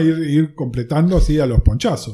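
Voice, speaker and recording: His voice fairly high yet dark and mellow in tone, a man speaks somewhat breathily with lively intonation. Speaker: comics youtuber. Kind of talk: casual chat.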